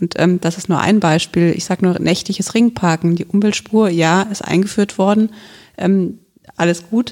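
At a medium pitch and a moderate pace, a woman uses a normal speaking voice with fairly even intonation. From Germany, Hesse (Wiesbaden). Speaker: local politician. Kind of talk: podcast interview.

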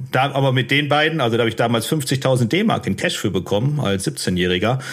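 This man's voice has a medium pitch. He keeps a moderate pace. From Ruhr area, Germany (Unna/Dortmund). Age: 30s. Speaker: former prisoner and author. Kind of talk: interview testimony. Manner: calm, matter-of-fact.

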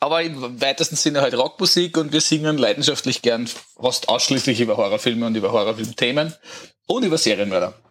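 This man talks at a very fast pace in a fairly high pitch, with ordinary pitch variation and very even loudness. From Austria, Lower Austria. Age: 40s. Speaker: rock band singer. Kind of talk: casual chat.

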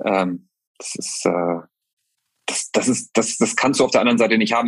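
At a fairly quick pace, a man with a plain, everyday voice talks in a medium pitch. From northern Germany. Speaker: football club head of communications. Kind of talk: interview.

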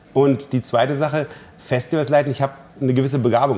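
A man talks at a moderate pace and medium pitch in a dark, mellow tone. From East Germany. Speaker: cellist and festival director. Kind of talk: interview.

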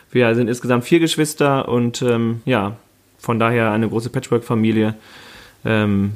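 A man's normal speaking voice, medium in pitch, at a moderate pace with fairly even intonation. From Münsterland, NRW (Warendorf-Freckenhorst). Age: 30s. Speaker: mayoral candidate. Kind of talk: casual chat.

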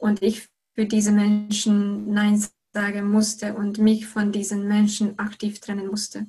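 In a Hungarian accent, a woman speaks fairly slowly at a medium pitch, her tone dark and mellow, her intonation flat and monotone, and her voice somewhat breathy. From Hungary. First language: Hungarian (speaking German). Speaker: goal-setting coach. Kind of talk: interview. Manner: halting, many repetitions.

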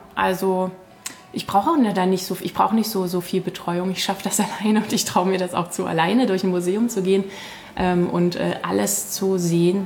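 A woman at a medium pitch speaks at a moderate pace with fairly even intonation against noticeable background noise. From Saxony, Westlausitz (Königsbrück). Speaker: culture blogger. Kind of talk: interview. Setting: café in a castle. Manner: halting, many fillers.

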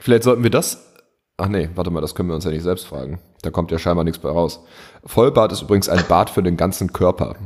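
A man with a northern German accent talks at a very fast pace in a very deep, low voice with ordinary pitch variation. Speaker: podcast co-host. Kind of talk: casual chat. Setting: remote call. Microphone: echo, reverberant room.

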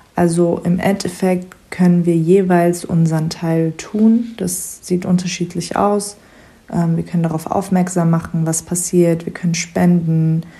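A woman's fairly low, monotone voice with flat intonation at a fairly slow pace, over noticeable background noise. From Germany. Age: 20s. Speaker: psychology student and refugee counselor. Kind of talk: casual chat.

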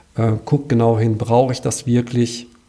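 This man talks at a medium pitch in a monotone, flat way. There is noticeable background noise behind him. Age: 50s. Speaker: financial adviser. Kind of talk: interview.

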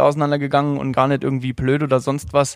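An unremarkable speaking voice with fairly even intonation on a very clean recording with a silent background. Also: man. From Saarland, Germany. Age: 30s. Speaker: angler. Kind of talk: casual chat.

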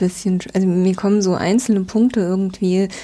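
A woman's medium-pitched, somewhat breathy voice with a dark, mellow tone, monotone, flat intonation and a moderate pace, on a very clean recording with a silent background. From southwestern Germany (Rhine-Neckar, near Speyer). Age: 40s. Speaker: publishing press officer. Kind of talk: interview conversation.

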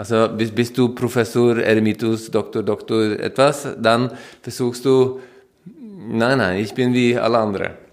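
A man speaks with a Norwegian accent at a medium pitch. His delivery is fairly slow, with monotone, flat intonation. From Norway. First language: Norwegian (speaking German). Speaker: stay-at-home father. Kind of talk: interview. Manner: hesitant, repeating words.

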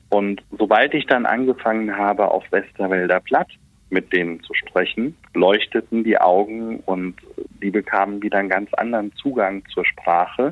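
A man's fairly low voice, an ordinary speaking voice at a moderate pace with ordinary pitch variation. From Westerwald, Rhineland-Palatinate. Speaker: voice and speech coach. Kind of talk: interview.

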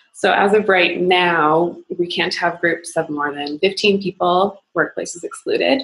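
With a Maritime Canadian accent, a woman speaks at a fairly slow pace with hardly any pauses, in a fairly low voice with ordinary pitch variation. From Nova Scotia, Canada. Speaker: investment bank employee, yoga practitioner. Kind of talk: casual interview.

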